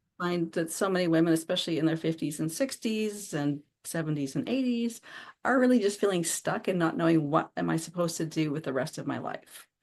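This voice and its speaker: With a normal speaking voice, this speaker moves at a fairly quick pace with lively intonation over a quiet background. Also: woman, fairly low pitch for a woman. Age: 60s. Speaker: author and anthology curator. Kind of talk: podcast interview.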